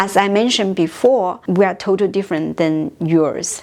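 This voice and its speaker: Over noticeable background noise, a woman speaks with a Chinese accent. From China. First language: Mandarin Chinese. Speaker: language teacher. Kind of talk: tutorial.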